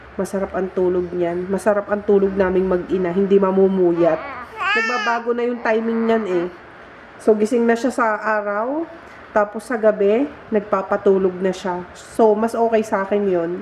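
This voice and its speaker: A woman talks at a moderate speed with fairly even intonation as noticeable background noise carries on. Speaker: vlogger. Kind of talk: casual vlog.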